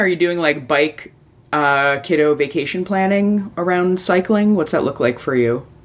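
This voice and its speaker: A woman speaks in an animated tone at a fairly low pitch. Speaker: podcast host. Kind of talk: casual interview chat. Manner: animated, slightly spastic.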